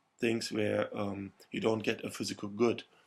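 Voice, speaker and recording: Speaking in a monotone, flat intonation, a man with a German accent goes at a fairly slow pace. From Germany. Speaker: marketing lecturer. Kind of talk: lecture.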